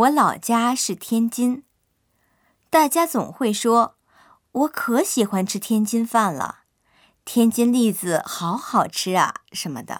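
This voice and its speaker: On a very clean recording with a silent background, a woman with a fairly high pitch uses lively intonation. She talks at a very slow pace with long, frequent pauses. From China, Tianjin. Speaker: language lesson narrator. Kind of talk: scripted narration.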